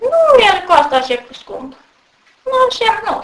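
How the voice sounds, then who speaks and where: Her pitch jumps around very widely. The woman talks fairly slowly. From Apuseni mountains, Romania. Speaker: mountain villager. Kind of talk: field interview.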